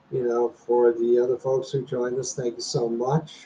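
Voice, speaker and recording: Somewhat breathy and delivered at a moderate pace, this voice has an American accent and fairly even intonation. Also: man. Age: 60s. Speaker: retiree YouTuber, former hospital software programmer. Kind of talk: casual livestream chat. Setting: livestream at home.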